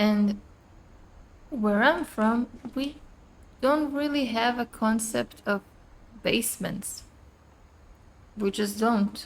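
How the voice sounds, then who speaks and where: A woman with a non-native accent speaks very slowly in a fairly high, somewhat breathy voice with ordinary pitch variation. Long pauses come frequently. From outside the US. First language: not English. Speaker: gaming streamer. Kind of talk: gameplay commentary. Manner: casual, conversational.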